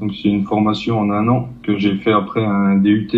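A man's monotone, flat delivery at a moderate pace, with noticeable background noise. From eastern France, Territoire de Belfort. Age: 20s. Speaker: apprentice lab technician. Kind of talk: interview. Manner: hesitant, many fillers.

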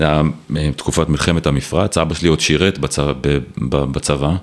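Noticeable background noise sits under a man's very deep, low voice as he talks at a moderate pace. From Israel, Ra'anana. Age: 40s. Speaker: telecom executive. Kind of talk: casual interview.

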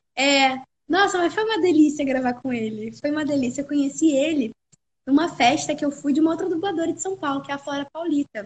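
At a fairly quick pace, a woman talks in a high voice with ordinary pitch variation. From Rio de Janeiro, Brazil. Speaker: voice actress. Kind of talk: casual chat. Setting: live stream. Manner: animated; frequent laughter.

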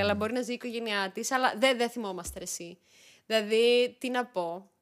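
Fairly high pitch from a woman, with fairly even intonation, a plain, everyday voice. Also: very clean recording, silent background. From Greece, Thessaloniki. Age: 30s. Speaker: YouTuber. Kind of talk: casual chat.

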